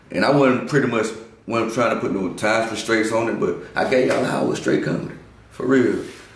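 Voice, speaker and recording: Audible room echo and noticeable background noise surround a man with an American accent, who talks at a fairly quick pace with ordinary pitch variation. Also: medium pitch for a man. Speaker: comedian. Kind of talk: casual interview.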